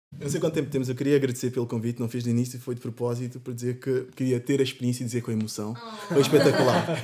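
A man talks at a very fast pace with hardly any pauses. His intonation stays fairly even over noticeable background noise. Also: medium pitch for a man. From São Tomé and Angola. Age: 20s. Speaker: university student. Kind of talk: casual chat.

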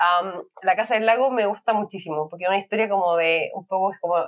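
A woman with an unremarkable speaking voice talks at a moderate pace, her pitch varying in an ordinary way. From Chile. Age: 30s. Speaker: podcast guest. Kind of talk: casual chat.

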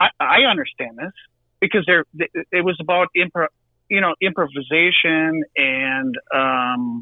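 Speaking fairly slowly in a Wisconsin accent, a man with a fairly high pitch shows ordinary pitch variation. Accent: Wisconsin Midwestern US. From Milwaukee, Wisconsin. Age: 40s. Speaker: drummer in a rock band. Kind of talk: casual podcast interview.

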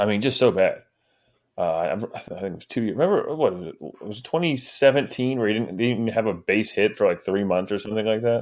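A plain, everyday voice moves at a fairly quick pace with ordinary pitch variation and big swings in loudness, on a very clean recording with a silent background. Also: man, medium pitch for a man. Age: 30s. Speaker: baseball podcast co-host. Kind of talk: casual chat.

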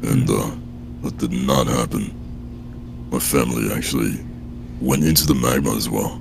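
Over noticeable background noise, a man with a very deep, low voice talks at a fairly slow pace in a monotone, flat intonation. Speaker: horror narrator guest. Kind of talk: casual interview chat and reading nightmares aloud.

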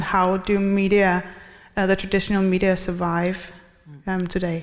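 With a Danish accent, a woman talks at a medium pitch in a monotone, flat intonation. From Denmark. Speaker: historian, audience member. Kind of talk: audience question. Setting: stage with audience.

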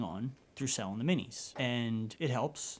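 On a very clean recording with a silent background, a man of medium pitch speaks at a moderate pace with ordinary pitch variation. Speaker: charity founder, rare disease patient. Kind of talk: interview. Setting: studio. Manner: nervous at first, then relaxed.

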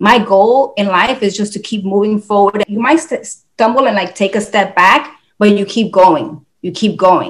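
This is a woman with a plain, everyday voice. She talks at a moderate pace with ordinary pitch variation. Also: medium pitch for a woman, hardly any pauses. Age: 50s. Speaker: fitness enthusiast sharing weight loss journey. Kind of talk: casual interview.

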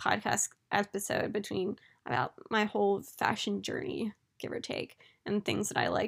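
Vocal fry runs through this woman's voice, and her intonation stays fairly even. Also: very clean recording, silent background. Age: late 20s. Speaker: podcast host. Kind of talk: casual solo monologue. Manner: chatty, laughing often.

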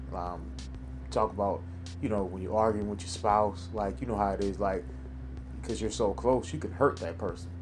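With audible room echo, a man speaks at a moderate pace in a very deep, low pitch with vocal fry, lively intonation and long, frequent pauses. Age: 30s. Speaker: podcast host giving a Bible devotional. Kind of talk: devotional talk. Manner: casual, many fillers.

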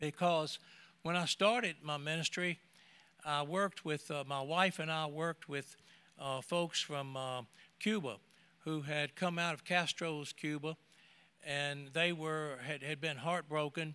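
Speaking fairly slowly, a man has a fairly high pitch, a bright, sharp tone and fairly even intonation. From United States. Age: 80s+. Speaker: retired minister. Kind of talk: testimony. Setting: church.

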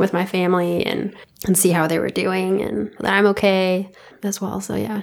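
The speaker goes at a fairly quick pace with an American accent and a monotone, flat intonation. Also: woman. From California. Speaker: medical student. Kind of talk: casual interview.

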